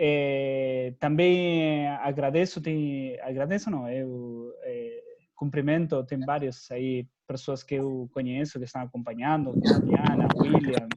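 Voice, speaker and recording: At a very slow pace with hardly any pauses, a man talks in a fairly high pitch with ordinary pitch variation. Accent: Spanish. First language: Spanish (speaking Portuguese). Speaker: professor. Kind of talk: lecture. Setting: video call. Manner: halting.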